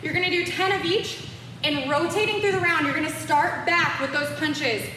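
Raised and projected with an upbeat tone, a woman's extremely high-pitched voice moves at a fairly quick pace amid audible room echo and light background noise. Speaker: fitness instructor. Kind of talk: live-cued home boxing workout instruction, counting reps and cueing moves. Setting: home-workout video recorded in studio. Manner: upbeat, encouraging coach energy, pushing viewers through rounds; casual and playful, joking asides and laughter. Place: gym. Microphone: camera far.

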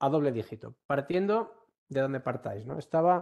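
At a moderate pace, a man with a Galician accent talks with lively intonation. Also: quiet background. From Galicia, Ourense; Galicia, Spain. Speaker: university professor, workshop instructor. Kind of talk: online workshop lecture. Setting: online session. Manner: frequent fillers and hesitations. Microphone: video call.

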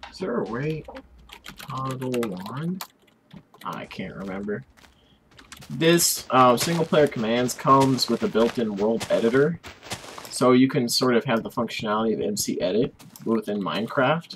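Long pauses come often in speech that otherwise keeps a moderate pace. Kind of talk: casual video game commentary.

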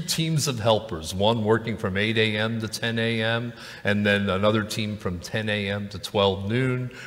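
A man speaks at a fairly slow pace. His pitch rises and falls in an ordinary way. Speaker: pastor. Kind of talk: church announcements. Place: church. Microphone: podium.

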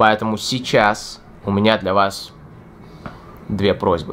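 At a very slow pace, a man talks with a fairly low pitch over light background noise. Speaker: English teacher. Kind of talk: tutorial. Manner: unscripted, improvised. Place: home room.

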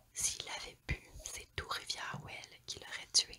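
A woman speaks in a whisper. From Quebec. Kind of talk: ASMR true crime narration. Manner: whispered.

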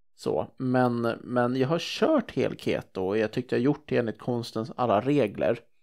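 In an ordinary speaking voice, a man talks at a moderate pace with a medium pitch and ordinary pitch variation, in a very clean recording with a silent background. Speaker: entrepreneur and public speaker. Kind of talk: casual interview.

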